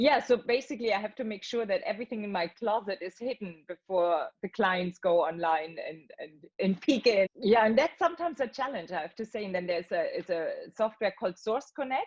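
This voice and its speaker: A woman with an unremarkable speaking voice and fairly high pitch talks with lively intonation. Her pace is fairly quick, with hardly any pauses. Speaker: voice actor. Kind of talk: interview answer. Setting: video call.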